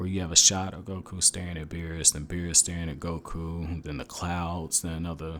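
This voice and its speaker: This man's voice sits very deep and low, with a bright, sharp tone. His delivery is monotone and flat, captured in a very clean recording with a silent background. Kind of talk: anime episode review. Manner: casual.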